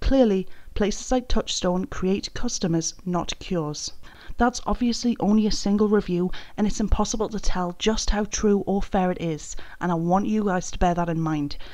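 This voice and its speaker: With a British accent, the speaker has a dark, mellow tone, ordinary pitch variation and a moderate pace. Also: woman, medium pitch for a woman. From Britain. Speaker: YouTube commentary creator. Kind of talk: commentary video.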